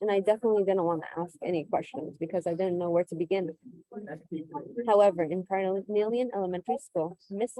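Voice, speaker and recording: Her Californian accent comes through as the woman speaks at a fairly quick pace with fairly even intonation, in a dry, close sound with no echo. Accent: Californian American English. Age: 20s. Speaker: teacher. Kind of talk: personal testimony.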